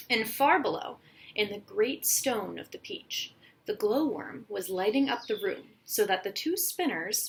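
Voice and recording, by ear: Someone reads aloud here in a natural voice.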